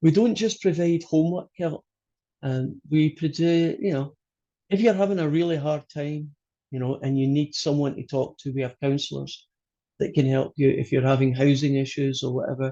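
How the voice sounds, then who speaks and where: A man with a Scottish accent, a fairly high pitch and ordinary pitch variation. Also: moderate pace. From Scotland. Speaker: college math instructor. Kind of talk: online class lecture. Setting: video call.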